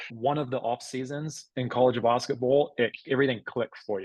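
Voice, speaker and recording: A man with a New Zealand accent, medium pitch, moderate pace, and a dry, close sound with no echo. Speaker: former college basketball player. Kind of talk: podcast interview. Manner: animated.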